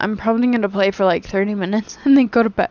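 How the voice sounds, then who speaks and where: Over noticeable background noise, a woman speaks in a fairly high pitch with ordinary pitch variation. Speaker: video game streamer. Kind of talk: casual chat.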